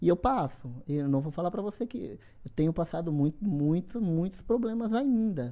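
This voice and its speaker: A woman speaks at a moderate pace with a fairly low pitch and a dark, mellow tone. Her pitch swings very widely. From Bahia, Brazil (interior, Esplanada). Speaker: bodybuilder. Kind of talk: podcast interview.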